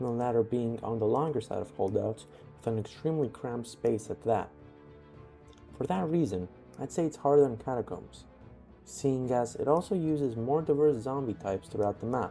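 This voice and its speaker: Background music accompanies speech delivered at a fairly quick pace. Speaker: gaming YouTuber. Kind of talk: game commentary voice-over. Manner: quiet at some parts.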